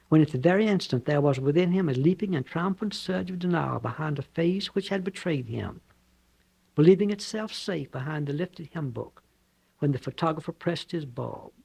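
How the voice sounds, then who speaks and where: In a Southern US accent, a man speaks at a fairly quick pace and a fairly high pitch, his tone dark and mellow, with ordinary pitch variation. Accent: Southern American. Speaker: novelist. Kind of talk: author reading own novel.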